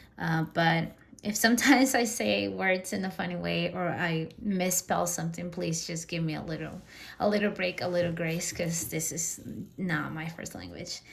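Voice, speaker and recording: A woman with a Spanish accent, fairly low in pitch, at a moderate pace with lively intonation, amid audible room echo and noticeable background noise. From Peru. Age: 30s. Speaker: personal finance vlogger. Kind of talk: personal vlog monologue. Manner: casual, with fillers.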